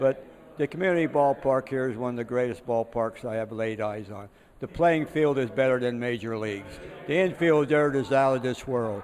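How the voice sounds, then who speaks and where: Noticeable background noise accompanies a man who talks at a moderate pace with a medium pitch and ordinary pitch variation. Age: 80s+. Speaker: retired groundskeeper. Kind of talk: casual interview. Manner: halting, many fillers.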